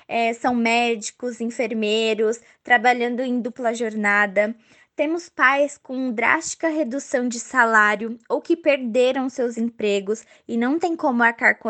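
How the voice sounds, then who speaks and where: Against a quiet background, a woman uses a normal speaking voice, fairly high in pitch, at a fairly slow pace with ordinary pitch variation. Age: 20s. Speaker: dance teacher. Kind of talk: prepared testimony.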